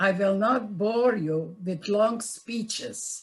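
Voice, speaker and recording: A woman speaks at a very slow pace in a fairly high, somewhat breathy voice. Her pitch varies in an ordinary way. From Czechoslovakia. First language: Yiddish. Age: 90s. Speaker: Holocaust survivor. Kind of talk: testimony. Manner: halting.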